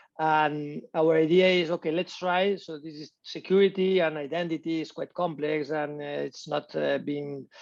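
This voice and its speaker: With a Spanish accent, a man speaks at a moderate pace, with a fairly high pitch and fairly even intonation, against a quiet background. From Spain. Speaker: tech company co-founder. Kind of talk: interview. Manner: halting, with many repetitions.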